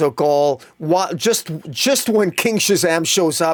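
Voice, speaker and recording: A man speaks in an animated tone. The recording is very clean, with a silent background. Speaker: comic book reviewer. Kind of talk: solo podcast review. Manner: fast; animated, many repetitions.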